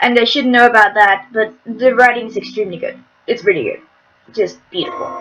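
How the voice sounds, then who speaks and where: With music in the background, the speaker moves at a fairly quick pace with ordinary pitch variation. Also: woman, fairly high pitch for a woman. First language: not English. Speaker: video game let's play streamer. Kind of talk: reading game text aloud with commentary.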